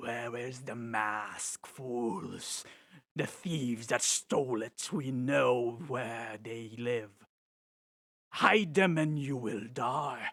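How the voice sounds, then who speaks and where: A man puts on a character voice at a medium pitch. He speaks very slowly. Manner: menacing, demanding.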